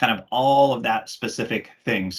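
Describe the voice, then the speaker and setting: Moderate pace, ordinary pitch variation and an American accent. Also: man. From Washington State, US. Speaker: technical specialist. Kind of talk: webinar presentation.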